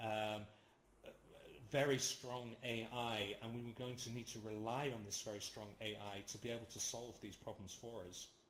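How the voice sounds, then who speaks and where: A man with a medium-pitched voice speaks at a moderate pace in a monotone, flat intonation, with audible room echo. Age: 40s. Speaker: lecturer. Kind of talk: lecture with Q&A discussion. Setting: virtual reality platform. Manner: halting, many fillers.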